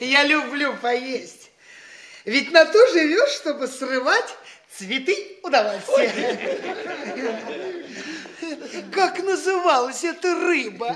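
A put-on character voice with a fairly bright tone moves slowly through big pitch swings and long, frequent pauses. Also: man, extremely high pitch for a man.

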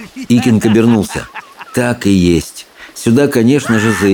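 The text is read aloud in a natural voice.

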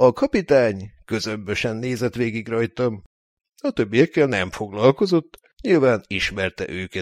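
Over a quiet background, this is plain reading aloud with lively intonation.

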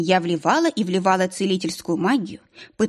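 This unforced reading voice has ordinary pitch variation.

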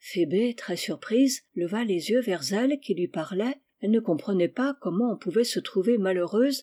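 The reading voice is natural. Nothing intrudes from the quiet background.

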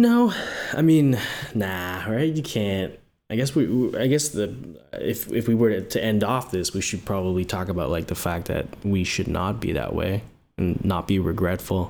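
A man with an ordinary speaking voice and a fairly low pitch talks at a moderate pace with lively intonation. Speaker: podcast co-host, UI/UX designer. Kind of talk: casual chat.

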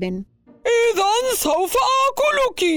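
A put-on character voice is heard. It sits at an extremely high pitch. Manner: frightening, menacing.

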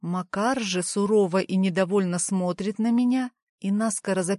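Against a quiet background, a natural reading voice is heard.

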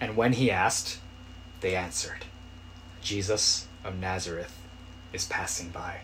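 The man's speech is fairly slow and broken by long, frequent pauses, with noticeable background noise present. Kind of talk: sermon. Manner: earnest, exhortative preaching, urgent imperatives.

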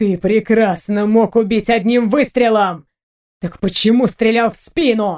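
A put-on character voice, growling, fairly high in pitch, at a moderate pace. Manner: angry, growling.

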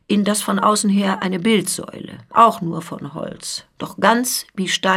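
The pitch shows ordinary variation. This is reading aloud in a natural voice.

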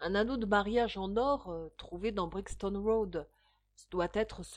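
The pitch varies in an ordinary way as the speaker reads aloud in a natural voice against a quiet background.

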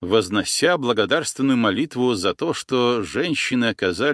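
The speaker uses an unforced reading voice, and the pitch varies in an ordinary way.

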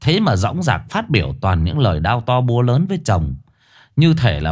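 This is a straightforward read-aloud, delivered plainly.

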